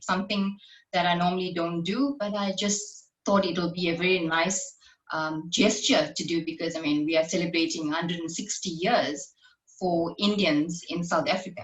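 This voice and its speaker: A woman at a moderate pace and medium pitch, with a plain, everyday voice. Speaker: podcast host. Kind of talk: podcast intro and interview questions.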